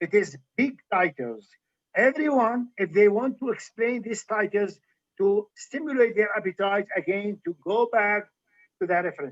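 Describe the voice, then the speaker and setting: A man with an Arabic accent speaks at a moderate pace in a high pitch, with ordinary pitch variation. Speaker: physician and medical historian lecturer. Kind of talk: Q&A after lecture. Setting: livestream video call.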